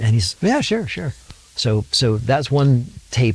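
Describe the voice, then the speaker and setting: Somewhat breathy, a man speaks at a medium pitch with an American accent. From Sacramento, California. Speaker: musician. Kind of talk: interview storytelling. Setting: home studio. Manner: animated.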